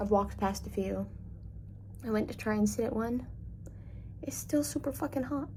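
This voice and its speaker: A woman speaks with long, frequent pauses. Audible room echo surrounds her voice. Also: moderate pace. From Labrador, Canada. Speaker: travel vlogger. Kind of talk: casual vlog chat. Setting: hotel room and walking around city. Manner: chatty, rambling.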